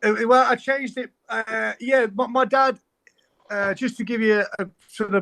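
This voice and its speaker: The dry, close sound with no echo carries a man's bright, sharp tone and his East Midlands accent. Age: 40s. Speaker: musician. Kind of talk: casual chat. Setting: podcast recording. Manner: fast.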